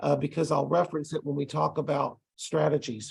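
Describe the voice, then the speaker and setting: This man has a fairly high pitch and audible vocal fry. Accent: Texas. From Texas. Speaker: ESL college instructor. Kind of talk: lecture. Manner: casual, with frequent hesitations.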